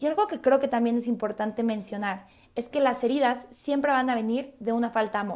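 High-pitched female speech in a central Mexican accent, moderate in pace with ordinary pitch variation, on a very clean recording with a silent background. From Mexico City. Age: 20s. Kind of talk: religious talk podcast.

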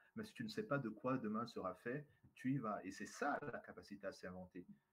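This man's pitch is fairly high, with very wide swings and vocal fry. His tone is animated. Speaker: trainer and speaker. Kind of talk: interview. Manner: charismatic, animated.

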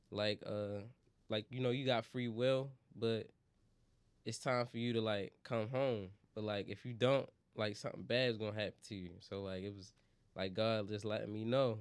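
With long, frequent pauses, a man speaks at a moderate pace in a fairly low pitch and fairly even intonation. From Baltimore, US. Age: young. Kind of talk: testimony; casual chat.

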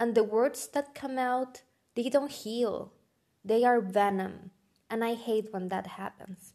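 A woman with a non-native accent speaks at a very slow pace and a fairly high pitch. Her tone is dark and mellow, and her intonation stays fairly even. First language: not English. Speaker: podcast host. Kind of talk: motivational monologue.

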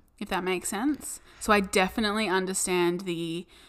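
A woman in an Australian accent, medium-pitched with lively intonation, in a very clean recording against a silent background. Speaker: podcast co-host. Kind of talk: casual chat.

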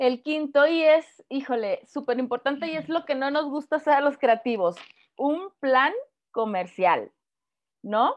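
Using lively intonation, a woman with a Mexican accent speaks at a high pitch. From Mexico. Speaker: footwear designer and consultant. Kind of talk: interview.

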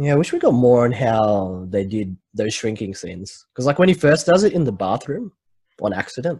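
Somewhat breathy and dark, mellow in tone, a man's medium-pitched voice moves at a fairly quick pace with very wide pitch swings. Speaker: podcast host. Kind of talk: casual chat. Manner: casual, laughs often.

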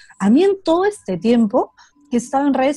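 With a dark, mellow tone and a somewhat breathy quality, a woman speaks at a moderate pace through very wide pitch swings. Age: 20s. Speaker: psychologist. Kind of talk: casual interview chat. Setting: video call.

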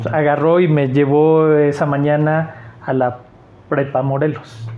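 This clip features a man speaking. Noticeable background noise can be heard. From Mexico, Aguascalientes. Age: 40s. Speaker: artist and teacher. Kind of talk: casual interview.

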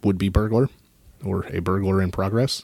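A man's voice has a dark, mellow tone and fairly low pitch. His intonation stays fairly even. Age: 30s. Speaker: podcast co-host. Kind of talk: casual chat.

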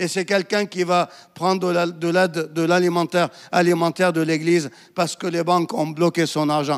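The sound is dry and close, with no echo. A man with a high voice talks at a moderate pace in a monotone, flat intonation. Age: 50s. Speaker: pastor. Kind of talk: sermon.

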